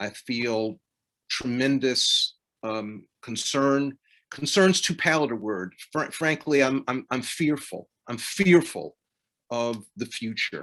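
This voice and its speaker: Against a quiet background, a man of medium pitch talks at a very slow pace with lively intonation. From US South, South Carolina. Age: 60s. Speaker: law professor. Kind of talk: panel remarks.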